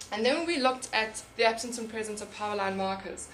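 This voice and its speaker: With audible room echo, a woman talks at a very fast pace, her fairly high pitch showing ordinary variation. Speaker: conservation researcher. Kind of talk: conference talk.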